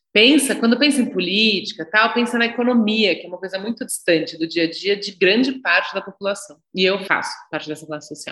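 A woman with a medium pitch and a bright, sharp tone talks at a fairly quick pace with hardly any pauses. Her intonation is lively and her loudness swings widely. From Brazil, São Paulo. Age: 40s. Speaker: psychologist and public official. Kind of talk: podcast interview.

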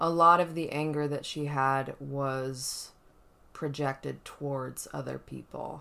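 A woman talks at a fairly slow pace. Her pitch is very deep and low, with ordinary variation. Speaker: podcast host. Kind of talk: casual chat. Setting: apartment, sitting close together.

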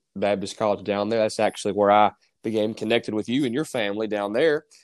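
With a Southern US accent, a man talks at a fairly quick pace with fairly even intonation in a dry, close sound with no echo. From North Carolina. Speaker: preacher. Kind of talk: casual interview.

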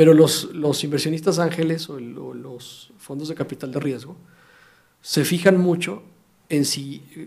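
With a normal speaking voice, a man talks at a moderate pace, his fairly high pitch showing ordinary variation. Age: 40s. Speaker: fintech entrepreneur. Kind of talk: interview. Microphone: audio problems in first 15 minutes.

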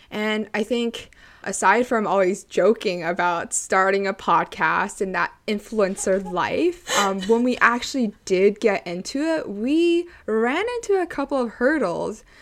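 A woman with a Canadian accent, fairly high-pitched and lively in intonation, at a fairly slow pace with hardly any pauses, against noticeable background noise. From Canada (Toronto). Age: 20s. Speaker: podcast co-host, university student. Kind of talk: casual chat.

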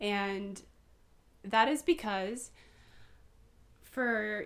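Speaking in an unremarkable speaking voice, a woman with an American accent sounds fairly high, her pitch varying in an ordinary way. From Southern California (Poway). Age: 20s. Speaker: podcaster. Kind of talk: casual chat.

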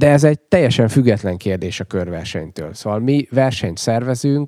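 In a dry, close recording with no echo and a silent background, a man speaks at a moderate pace with a dark, mellow tone and ordinary pitch variation. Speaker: cycling race director. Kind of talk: casual interview chat.

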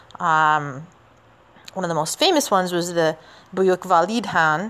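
A woman speaks at a moderate pace in an ordinary speaking voice, fairly low in pitch with ordinary pitch variation. The background is quiet. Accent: Canadian. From Canada. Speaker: podcast host and teacher. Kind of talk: solo history podcast narration. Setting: outdoors walking in the city. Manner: casual, with many fillers.

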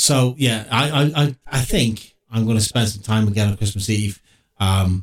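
This man has a medium-pitched, somewhat breathy voice with ordinary pitch variation, very even loudness and a moderate pace. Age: 50s. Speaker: podcast co-host. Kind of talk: casual chat.

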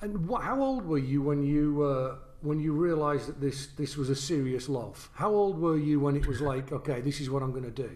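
Audible room echo surrounds a voice moving at a fairly quick pace with hardly any pauses. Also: man, ordinary pitch variation. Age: 50s. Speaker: trombonist and podcast host. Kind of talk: casual interview conversation. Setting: video call.

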